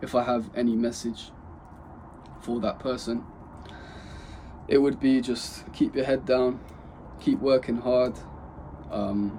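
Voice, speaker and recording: A man talks at a fairly slow pace in a medium pitch, his intonation monotone and flat, with long, frequent pauses. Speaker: vlogger starting an e-commerce business. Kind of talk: personal vlog talking to camera. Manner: monotonous.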